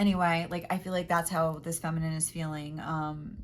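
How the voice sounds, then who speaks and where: At a moderate pace, a woman talks in a fairly low voice. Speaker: tarot reader. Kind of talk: tarot reading.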